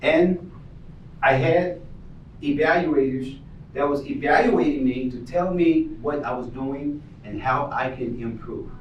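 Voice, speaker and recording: Fairly slow delivery with long, frequent pauses, ordinary pitch variation and audible room echo. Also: man, fairly high pitch for a man. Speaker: motivational speaker. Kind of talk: motivational speech. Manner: animated.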